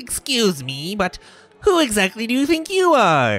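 The put-on character voice sits at a fairly high pitch and makes very wide pitch swings. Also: moderate pace. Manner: indignant, haughty.

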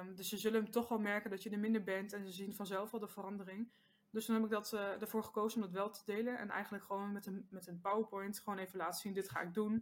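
A woman speaks at a very fast pace and a medium pitch. Her intonation is monotone and flat. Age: 20s. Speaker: maths teacher and social media creator. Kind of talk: casual interview chat. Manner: hesitant, many filler sounds.

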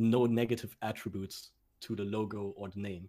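A man's fairly low voice with a German accent, at a moderate pace and with fairly even intonation. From Germany. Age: 20s. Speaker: esports coach. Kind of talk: casual interview.

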